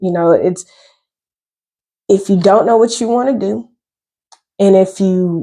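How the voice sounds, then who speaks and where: With an Atlanta accent, the speaker talks at a moderate pace with ordinary pitch variation. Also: woman. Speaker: cybersecurity content creator. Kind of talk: casual explainer monologue. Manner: casual, conversational.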